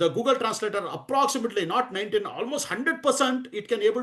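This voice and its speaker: With an Indian accent and lively intonation, a man talks at a very fast pace against a quiet background. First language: Hindi. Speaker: DevOps trainer. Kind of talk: lecture. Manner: halting, many fillers.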